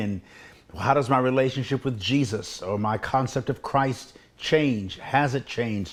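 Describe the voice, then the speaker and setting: A man at medium pitch, with ordinary pitch variation and a moderate pace. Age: 60s. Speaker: preacher. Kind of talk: talk on faith. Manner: halting.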